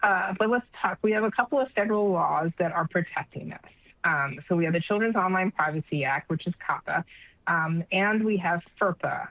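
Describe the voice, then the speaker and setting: The loudness stays very even throughout. Pitch varies in an ordinary way. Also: woman, medium pitch for a woman. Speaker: education technology leader, conference presenter. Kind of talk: conference presentation. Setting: online conference session with attendee chat. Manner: fast.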